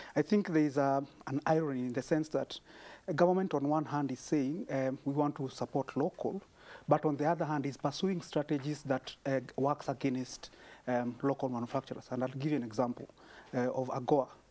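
A man with a Kenyan accent talks at a fairly quick pace, his pitch fairly high. His tone is dark and mellow, with fairly even intonation. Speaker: small business advocate. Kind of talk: TV panel discussion. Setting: TV studio. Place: studio. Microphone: lapel.

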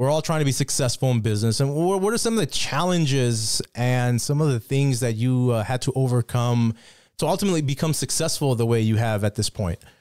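A man with an ordinary speaking voice talks at a fairly quick pace in a medium pitch, with ordinary pitch variation and very even loudness. The sound is dry with no echo, over a quiet background. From Mexico, raised in US from age six. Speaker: podcast host, notary business owner. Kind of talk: casual interview. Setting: studio. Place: studio. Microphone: studio mic.

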